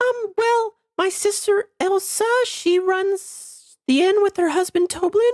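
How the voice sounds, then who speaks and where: What you hear is a put-on character voice. It sits at an extremely high pitch. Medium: actual play. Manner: hesitant, stammering, cheery.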